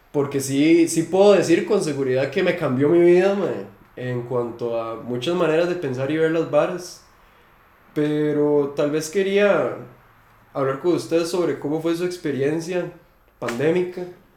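A man with a Costa Rican accent speaks at a fairly slow pace in a fairly high pitch, his pitch varying in an ordinary way, with audible room echo. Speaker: podcast host and metal musician. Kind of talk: casual chat. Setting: at the guest's home.

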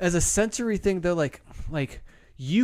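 His pitch varying in an ordinary way, a man talks in an ordinary speaking voice at a moderate pace. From Arizona. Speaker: graphic designer. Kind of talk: casual chat.

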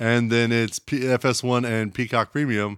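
A man talks in a normal speaking voice with an American accent at a medium pitch and a moderate pace. The recording is very clean, with a silent background. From United States. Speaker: podcast co-host. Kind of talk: casual chat. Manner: laughs often.

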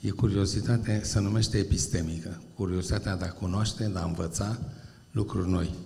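Fairly quick speech with fairly even intonation, noticeable background noise and audible room echo. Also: man, fairly low pitch for a man. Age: 70s. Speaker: university professor. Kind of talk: public talk. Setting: stage with audience.

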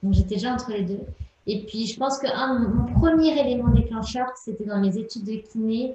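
A woman with an unremarkable speaking voice, fairly high in pitch, at a moderate pace with ordinary pitch variation. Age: 20s. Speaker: entrepreneur and menstrual cycle coach. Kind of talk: interview.

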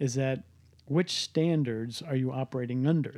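A man speaks with an American accent. His tone is dark and mellow, and his intonation is fairly even. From US Midwest, Cleveland. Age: 50s. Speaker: entrepreneur and business coach. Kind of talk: casual interview conversation with son.

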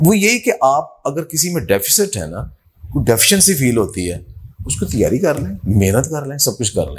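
A man's fairly high voice, full of vocal fry and very wide pitch swings. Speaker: agriculture professor. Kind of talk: interview.

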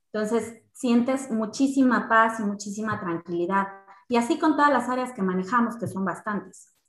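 A woman speaks with fairly high pitch and ordinary pitch variation. Music plays in the background. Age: 30s. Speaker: insurance and investment specialist. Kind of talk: casual interview chat.

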